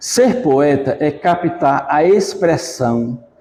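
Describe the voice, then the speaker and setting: At a very slow pace, the speech carries a dark, mellow tone. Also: man. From Igaci, Alagoas, Brazil. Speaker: poet, retired bank clerk. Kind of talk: poetry reading.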